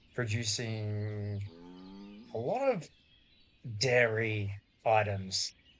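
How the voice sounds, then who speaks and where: A man speaks very slowly in a monotone, flat intonation, with long, frequent pauses. Noticeable background noise sits behind him. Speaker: gaming YouTuber. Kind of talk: casual gameplay commentary. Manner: relaxed, calm.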